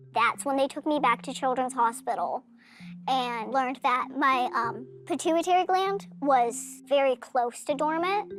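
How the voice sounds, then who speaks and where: Music plays in the background as a woman speaks in an American accent. Her pitch is high and her pace fairly slow. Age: 20s. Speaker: reality TV star. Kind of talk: confessional interview.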